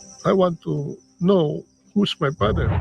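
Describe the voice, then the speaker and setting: A man is speaking. Music plays in the background. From Philippines. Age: 60s. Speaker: man meeting his father. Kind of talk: emotional interview.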